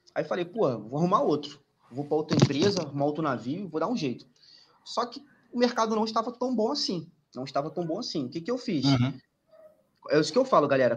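Speaking at a very fast pace, a man uses a fairly high pitch with very wide pitch swings. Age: 20s. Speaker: merchant navy engineer and exam tutor. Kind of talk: casual chat. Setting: live stream.

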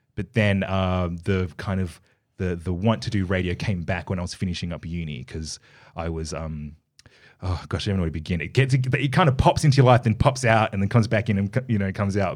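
A man with an Australian accent, fairly low in pitch, at a fairly quick pace with lively intonation, in a very clean recording with a silent background. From Australia, Perth. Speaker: radio host and dancer. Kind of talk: casual interview.

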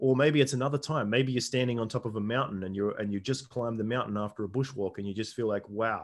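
Against a quiet background, a man with an Australian accent speaks very fast at medium pitch with fairly even intonation. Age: 40s. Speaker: shaman and men's coach. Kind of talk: casual interview chat; guided meditation inviting listeners to close eyes and recall a memory. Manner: hesitant, filler-heavy, repeats words.

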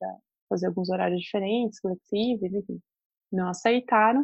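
A woman with a plain, everyday voice speaks at a moderate pace, her medium pitch kept in fairly even intonation. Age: 30s. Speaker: journalist and mother. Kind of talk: casual interview.

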